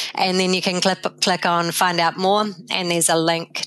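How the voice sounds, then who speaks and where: The speaker has a New Zealand accent and a moderate pace. The intonation is monotone and flat. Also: woman. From New Zealand, South Canterbury. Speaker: animal health scientist. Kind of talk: interview.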